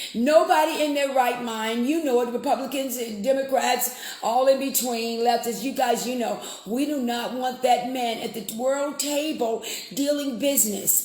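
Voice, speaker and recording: Against noticeable background noise, a woman speaks in an animated tone at high pitch. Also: moderate pace. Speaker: political talk radio host. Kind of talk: live political commentary stream. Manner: conversational, animated.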